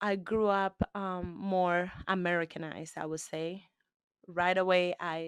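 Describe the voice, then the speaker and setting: Speaking with a Spanish accent, a woman delivers her words in a monotone, flat intonation at a fairly low pitch and a fairly slow pace. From Cuba. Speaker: interviewee. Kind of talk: interview.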